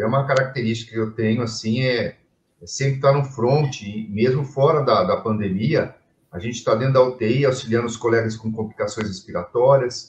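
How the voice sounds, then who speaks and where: At a moderate pace and medium pitch, a man talks in a somewhat breathy voice with fairly even intonation. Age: 60s. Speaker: physician, lung and intensive care specialist. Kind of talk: interview in a live stream. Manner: halting, with many fillers and repetitions.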